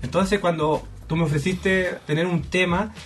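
Against noticeable background noise, a man with a Chilean accent talks at a moderate pace in a high pitch. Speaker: podcast guest. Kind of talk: casual chat.

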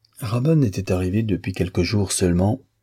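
A passage is read aloud in a natural voice.

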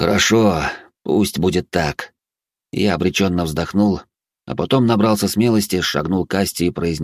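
The background stays quiet. Pitch varies in an ordinary way during this plain reading aloud.

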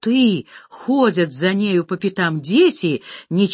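The voice reads aloud unforced. Nothing about it is pushed.

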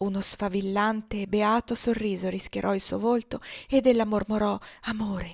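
Fairly even intonation over plain reading aloud

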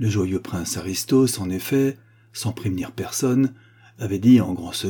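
The speaker uses a natural reading voice. The words are read out in that manner.

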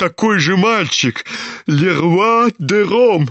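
An unforced reading voice carried by lively intonation.

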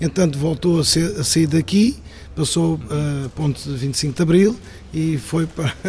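A man's fairly high-pitched voice with ordinary pitch variation over noticeable background noise. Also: fairly slow pace. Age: old. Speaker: hotel worker. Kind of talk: interview. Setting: hotel.

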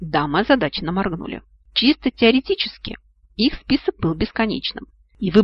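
Just plain reading aloud

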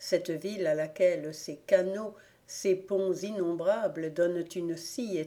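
Plain reading aloud, delivered with ordinary pitch variation.

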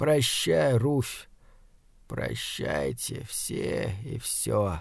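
In a put-on character voice with vocal fry, the speaker moves at a very slow pace through very wide pitch swings. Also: man, fairly low pitch for a man.

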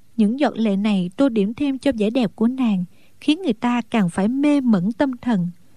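The pitch varies in an ordinary way through this plain reading aloud.

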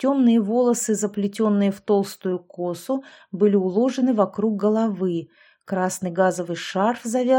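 A natural reading voice carries the clip. Its pitch shifts in an ordinary way.

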